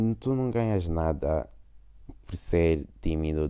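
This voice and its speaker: Over a very clean recording with a silent background, a man speaks at a very slow pace with a very deep, low pitch and a dark, mellow tone. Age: 20s. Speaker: podcaster. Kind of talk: casual unscripted monologue. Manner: hesitant, many fillers and English code-switching.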